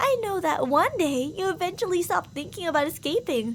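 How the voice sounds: Doing a put-on character voice, a woman talks at a moderate pace with an extremely high pitch and big pitch swings.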